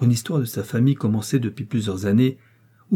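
The voice reads aloud in a natural reading voice. Pitch moves up and down in an ordinary way.

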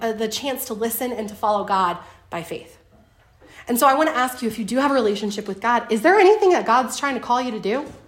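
The intonation is lively. Room echo can be heard. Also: woman. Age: 30s. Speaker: co-leader of a Bible study teaching. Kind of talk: Bible study teaching.

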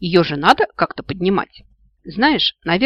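Over a quiet background, the speaker uses an unforced reading voice.

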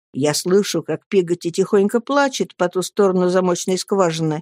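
A woman's fairly low voice with a dark, mellow tone, a moderate pace, and a dry, close sound with no echo.

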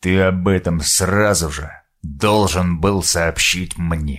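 Putting on a character voice, a man talks at a fairly slow pace with a very deep, low pitch and fairly even intonation. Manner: dead and cold.

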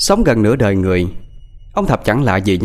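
A natural voice reading aloud

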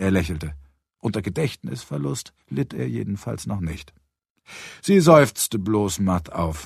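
Recorded very cleanly against a silent background, a man speaks fairly slowly at a fairly low pitch with big pitch swings, a slightly husky edge, vocal fry and a slightly mellow tone.

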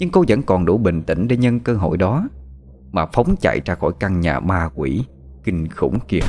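This is an unforced reading voice. The words are read through in that manner.

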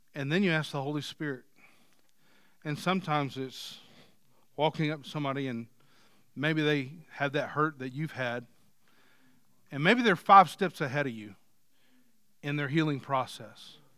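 A man speaks at a moderate pace in a fairly high, bright, sharp voice with ordinary pitch variation and long, frequent pauses, on a very clean recording with a silent background. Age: 40s. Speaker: preacher. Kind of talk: sermon. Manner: halting.

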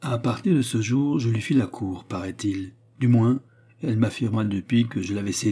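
Reading aloud in a natural voice, the speaker shows ordinary pitch variation.

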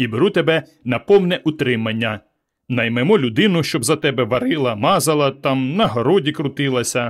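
Someone reads aloud plainly. The intonation is lively, and the background stays quiet.

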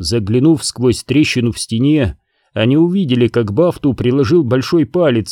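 The background is quiet as the speaker reads aloud in a natural voice.

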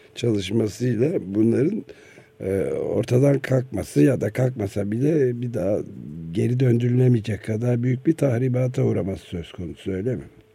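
At a moderate pace, a man speaks in a dark, mellow, somewhat breathy tone at medium pitch with ordinary pitch variation. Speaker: radio host. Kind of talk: radio interview.

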